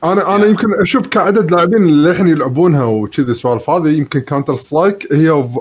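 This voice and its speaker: Hardly pausing, a man with a fairly high pitch talks very fast with lively intonation, his loudness staying very even. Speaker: gamer panelist. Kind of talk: casual chat. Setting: online call, live stream.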